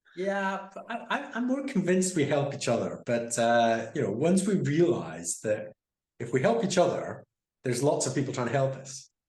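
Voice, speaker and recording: Somewhat breathy, a man with a Scottish accent speaks at a moderate pace with very wide pitch swings. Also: fairly high pitch for a man. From Scotland. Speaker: guest on a conversation series. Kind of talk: casual chat.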